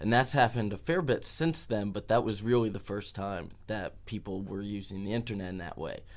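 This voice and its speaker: In a very clean recording with a silent background, a man with an American accent speaks at a moderate pace and a fairly low pitch in an ordinary speaking voice. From US Midwest, Dayton, Ohio. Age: 20s. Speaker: activist and street musician. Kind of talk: interview.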